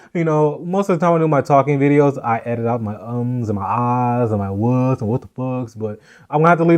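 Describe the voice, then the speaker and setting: With a quiet background, a man speaks fairly quickly in a normal speaking voice, his medium pitch showing ordinary variation. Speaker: podcast host and vlogger. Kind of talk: casual chat.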